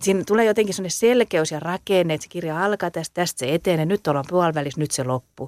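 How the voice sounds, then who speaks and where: In a southwestern Finnish accent, the speaker races along at a very fast pace with hardly any pauses and ordinary pitch variation, recorded very cleanly with a silent background and a dry, close sound with no echo. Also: woman, fairly low pitch for a woman. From southwest Finland. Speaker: dialect poet. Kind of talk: casual interview.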